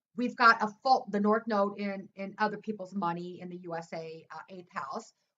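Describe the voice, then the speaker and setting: Speaking at a moderate pace, a woman with an American accent has a fairly high pitch. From US Midwest. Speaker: astrologer. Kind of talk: astrology forecast monologue. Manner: halting, many fillers.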